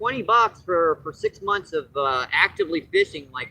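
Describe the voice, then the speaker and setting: The speaker is a man. His voice sounds dry and close, without any echo. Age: 60s. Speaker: fishing livestreamer. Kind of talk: casual live-stream commentary. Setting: outdoors at a lake.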